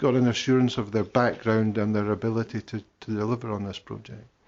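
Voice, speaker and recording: A man speaks at medium pitch in a central Scottish accent. His pace is fairly quick. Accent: Scottish (central Scotland). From Scotland, Falkirk. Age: 60s. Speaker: local councillor. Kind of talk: council committee debate.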